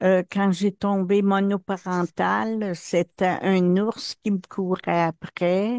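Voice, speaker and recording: A woman at medium pitch, very slow and monotone with flat intonation, her loudness very even, in a dry, close sound with no echo. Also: quiet background. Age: 70s. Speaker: hypnosis session client. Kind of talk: personal testimony in therapy intake. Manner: hesitant, many fillers.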